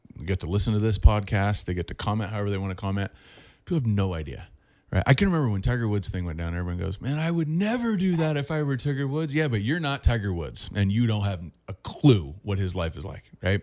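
A man with an American accent, fairly low in pitch, with very wide pitch swings at a very fast pace, on a very clean recording with a silent background. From Southern California. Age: 30s. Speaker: quarterback coach. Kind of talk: interview.

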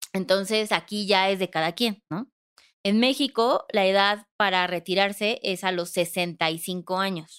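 At a very slow pace, a woman of medium pitch speaks with fairly even intonation on a very clean recording with a silent background. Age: 30s. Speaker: financial advisor, podcast co-host. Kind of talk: casual explanatory chat.

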